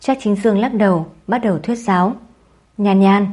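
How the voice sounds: A natural reading voice. Its intonation stays fairly even.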